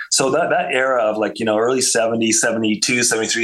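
A man with a Canadian accent speaks at a medium pitch. His intonation is fairly even, and audible room echo is present. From Canada, suburban Montreal. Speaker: rock guitarist and songwriter. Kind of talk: interview conversation. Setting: remote call from home. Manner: halting, frequent repetitions.

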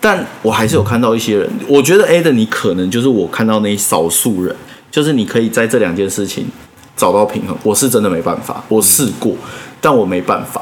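A man with a medium-pitched voice and lively intonation speaks over noticeable background noise, with audible room echo. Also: fairly quick pace. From Taiwan, Taipei. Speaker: design podcast host. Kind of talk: casual chat.

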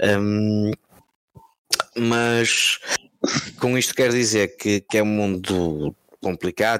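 In a dry, close recording with no echo, a man speaks at a fairly low pitch with fairly even intonation. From Portugal, Porto. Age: 30s. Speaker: sim racing team manager. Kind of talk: casual chat. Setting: live video stream.

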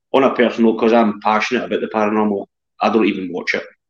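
This man has a Scottish accent. He talks at a very fast pace. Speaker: paranormal investigator. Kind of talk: casual chat. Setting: video call.

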